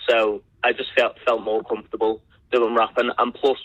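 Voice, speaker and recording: A man with a British accent at a moderate pace. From Liverpool, England. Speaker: rapper. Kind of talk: podcast interview.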